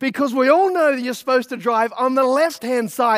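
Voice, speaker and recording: In a very clean recording with a silent background, a man speaks at an extremely high pitch with ordinary pitch variation. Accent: Australian. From Australia. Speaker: pastor. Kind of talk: sermon.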